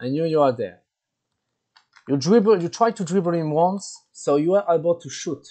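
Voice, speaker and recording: A man with a French accent speaks in a dark, mellow tone at a fairly high pitch. His intonation is lively, with long, frequent pauses. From France. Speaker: gaming tournament organizer. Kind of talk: tutorial. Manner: halting, many repetitions.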